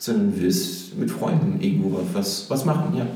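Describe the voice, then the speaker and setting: A man at a moderate pace with very wide pitch swings, audible room echo and noticeable background noise. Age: 30s. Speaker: software developer. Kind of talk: casual chat.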